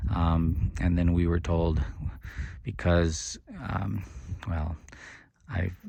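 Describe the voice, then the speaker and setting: Speaking with vocal fry, a man has a very deep, low pitch. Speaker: ministry founder. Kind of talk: personal video monologue. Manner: halting, stuttering.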